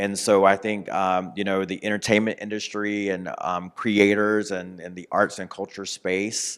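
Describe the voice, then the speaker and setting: At a moderate pace, a man speaks in a fairly low, monotone, flat voice on a very clean recording with a silent background. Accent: American. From North Carolina. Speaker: author. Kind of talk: interview.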